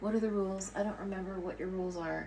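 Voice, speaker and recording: A woman speaks with an American accent. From US West Coast, Los Angeles. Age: 60s. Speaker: artist and coloring book author. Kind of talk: casual vlog talk to camera. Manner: rambling, halting with many fillers.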